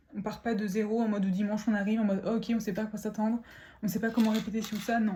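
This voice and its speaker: There is audible room echo and noticeable background noise. A woman speaks at a fairly high pitch. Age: 20s. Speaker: lifestyle vlogger. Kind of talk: casual vlog talk. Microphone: poor audio.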